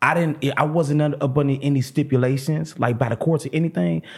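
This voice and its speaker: An animated, somewhat breathy man with lively intonation, in a very clean recording with a silent background. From St. Louis, Missouri. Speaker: comedian. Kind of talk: casual chat.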